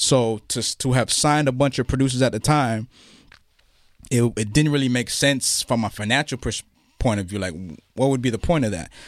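The speech moves at a fairly quick pace but breaks into long, frequent pauses. The sound is dry and close, without echo. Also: man, medium pitch for a man, ordinary pitch variation, very clean recording, silent background. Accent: Toronto. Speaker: hip-hop event founder and author. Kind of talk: interview.

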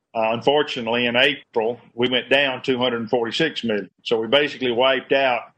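A man's monotone, flat delivery in a Southern US accent. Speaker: state politician. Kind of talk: press forum remarks. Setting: video call.

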